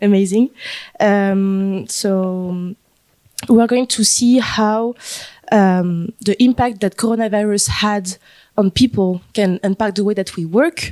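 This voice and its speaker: Slow and dark, a woman with a French accent speaks at a very slow pace in a medium-pitched, mellow voice with fairly even intonation, the sound dry and close with no echo. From France, Paris. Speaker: panel moderator. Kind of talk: panel discussion. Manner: halting, many fillers.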